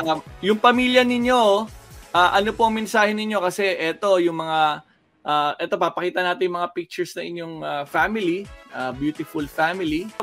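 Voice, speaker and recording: A man's high-pitched voice at a moderate pace with ordinary pitch variation, music in the background. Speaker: TV host. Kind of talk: casual video call interview host.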